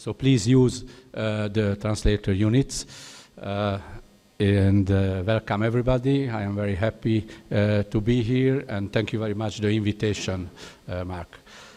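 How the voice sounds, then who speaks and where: A man with a Hungarian accent speaks at a moderate pace in a fairly low pitch, his dark, mellow tone carried by fairly even intonation. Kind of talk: conference speech. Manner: halting in English.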